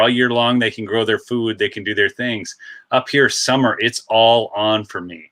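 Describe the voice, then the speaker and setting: A man speaks loudly in a Minnesota accent, at a fairly quick pace. His voice sits at a medium pitch with a bright, sharp tone. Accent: Upper Midwest US (Minnesota). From northern Minnesota. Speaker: channel host, artist. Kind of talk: casual chat.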